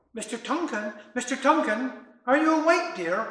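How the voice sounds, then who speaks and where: Putting on a character voice, a man speaks at a moderate pace in an extremely high, shrill pitch, with a slight echo around him. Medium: solo performance. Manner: chirpy.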